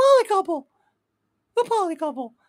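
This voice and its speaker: An extremely high, squeaky put-on character voice at a fairly quick pace. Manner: exaggerated, different voice from his real one.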